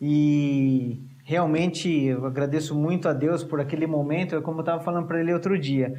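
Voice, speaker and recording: Over noticeable background noise and audible room echo, a man with a fairly high voice talks at a moderate pace with hardly any pauses, fairly even intonation and very even loudness. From Brazil. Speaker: missionary preacher. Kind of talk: sermon. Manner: halting, repeats words.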